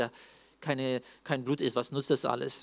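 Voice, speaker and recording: Here is a man with a medium-pitched voice. The recording is very clean, with a silent background. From Russia, Russian-German community (Siberia). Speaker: preacher sharing near-death testimony. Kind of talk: testimony.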